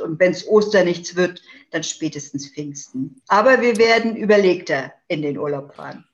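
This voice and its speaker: A woman speaks at a moderate pace with a fairly low pitch and ordinary pitch variation. It is a normal speaking voice. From northeastern Germany, island of Rügen. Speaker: politician. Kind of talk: interview.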